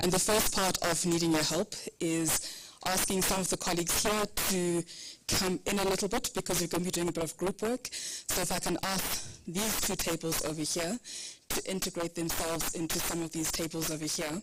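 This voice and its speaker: Against noticeable background noise, a woman with a fairly low pitch talks at a moderate pace with fairly even intonation. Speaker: workshop facilitator. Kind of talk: workshop facilitation.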